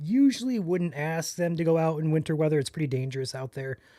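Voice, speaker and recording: A man talks in a plain, everyday voice at a fairly quick pace. The recording is very clean with a silent background, and his pitch variation is ordinary. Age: 20s. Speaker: storm chaser and live weather streamer. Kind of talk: live weather coverage Q&A. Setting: live stream.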